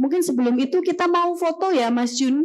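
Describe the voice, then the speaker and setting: This voice belongs to a woman. She talks at a moderate pace. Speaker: university lecturer and moderator. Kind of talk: event moderation. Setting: stage with audience in amphitheatre. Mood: friendly, lively, gesturing. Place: hall. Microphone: podium.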